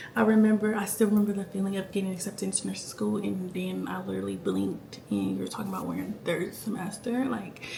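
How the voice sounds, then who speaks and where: Noticeable background noise fills the recording. The talking goes at a fairly quick pace. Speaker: nursing student vlogger. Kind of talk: casual vlog life update. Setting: at home late at night. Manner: animated.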